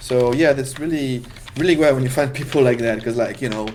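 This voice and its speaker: Speaking very fast in a French accent, a man keeps a medium pitch with ordinary pitch variation. Noticeable background noise and audible room echo surround him. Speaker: game jam livestream host. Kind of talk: casual livestream chat.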